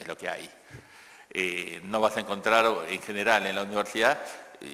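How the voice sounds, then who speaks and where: Noticeable background noise accompanies a man speaking with a Rioplatense accent. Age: 60s. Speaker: economist and education speaker. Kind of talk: conference Q&A answer. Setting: conference stage with audience. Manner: halting with repetitions.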